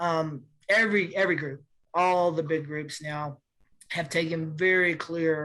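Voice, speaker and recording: At a fairly slow pace, a woman with a fairly low voice speaks with fairly even intonation. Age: 60s. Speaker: civil rights lawyer. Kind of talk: panel discussion. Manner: halting, many restarts.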